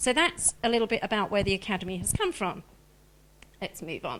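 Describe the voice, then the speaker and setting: With a slight Australian accent, a woman talks at a fairly quick pace. Her fairly high voice swings very widely in pitch. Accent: slight Australian twang. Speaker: director of a wedding planning school. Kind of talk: live stream presentation. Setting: live stream.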